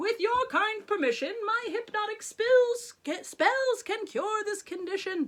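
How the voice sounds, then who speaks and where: An extremely high, squeaky put-on character voice moves at a fairly slow pace with hardly any pauses. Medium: read story. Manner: pompous, showy.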